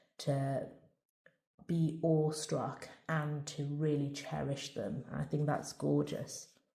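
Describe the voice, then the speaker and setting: A woman's very deep, low voice in a Scouse accent, monotone and flat, dark and mellow in tone, somewhat breathy, at a very slow pace. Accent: Merseyside (Scouse). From Merseyside, northern England. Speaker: tarot reader. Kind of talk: tarot reading with read-out guidebook passages. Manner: halting, with many fillers and repeats.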